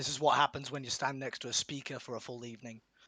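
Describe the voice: In a put-on character voice, a man speaks very fast at a medium pitch, raspy and hoarse, with monotone, flat intonation and a dry, close sound with no echo.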